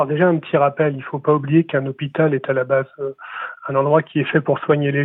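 A man's fairly high voice, monotone and flat, at a very fast pace. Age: 40s. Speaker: health sector business director, former biomedical engineer. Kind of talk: interview. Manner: halting, many fillers and repetitions.

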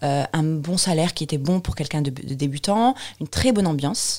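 A somewhat breathy woman talks at a moderate pace, her fairly low pitch rising and falling in lively intonation. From Tunisia, Tunis. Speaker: software presales consultant. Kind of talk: interview testimony. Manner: hesitant, with many fillers.

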